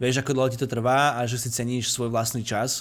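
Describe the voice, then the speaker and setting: A man speaks at a medium pitch. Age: 20s. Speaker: architectural visualization studio owner. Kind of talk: casual interview. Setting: Skype call. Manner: talkative.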